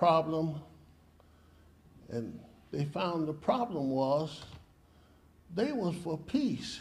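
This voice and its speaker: In a room with audible echo, a man speaks very slowly at a fairly high pitch. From US South, Mississippi. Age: 80s+. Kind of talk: protest speech. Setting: press conference.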